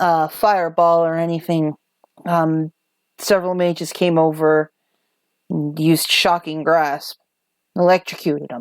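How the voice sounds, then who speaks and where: On a very clean recording with a silent background, a woman uses a gruff, put-on character voice at a fairly low pitch and moderate pace. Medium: actual play. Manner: gruff, blunt.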